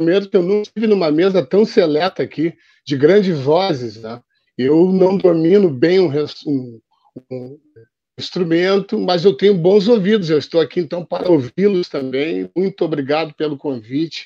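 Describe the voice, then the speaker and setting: In a dry, close sound with no echo, a man with a high pitch and a dark, mellow tone talks at a moderate pace with ordinary pitch variation. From Porto Alegre, southern Brazil. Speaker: journalist. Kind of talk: online panel debate.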